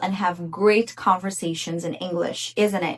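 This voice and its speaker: Speaking at a medium pitch, a woman talks with a Portuguese accent. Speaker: English teacher. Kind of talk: tutorial.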